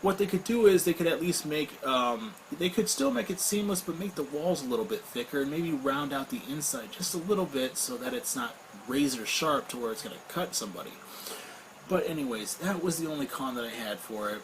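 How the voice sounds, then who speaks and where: With noticeable background noise, a man talks at a fairly quick pace in a fairly high pitch that swings very widely. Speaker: vape product reviewer. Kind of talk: product review. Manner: casual, with frequent fillers.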